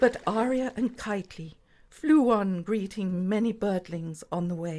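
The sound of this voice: Reading done in an unforced voice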